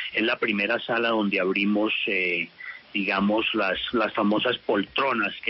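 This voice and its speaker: A man speaks at a medium pitch. Noticeable background noise can be heard. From California (Culver City), US, of Colombian family. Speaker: cinema chain executive. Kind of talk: radio interview.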